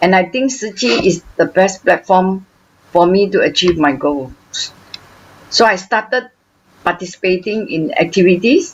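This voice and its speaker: At medium pitch and with lively intonation, a woman speaks with long, frequent pauses. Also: moderate pace. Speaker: charity volunteer. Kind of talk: testimony. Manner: halting, with fillers.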